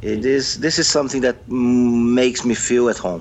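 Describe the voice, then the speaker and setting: A man with a Brazilian accent at a fairly slow pace amid noticeable background noise. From Brazil, Sao Paulo. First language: Brazilian Portuguese. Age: 50s. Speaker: sports management professor. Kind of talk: interview. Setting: video call.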